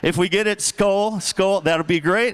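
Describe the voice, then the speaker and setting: Amid noticeable background noise, a man speaks in an animated tone at a moderate pace. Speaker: gala emcee. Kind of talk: event speech to live audience.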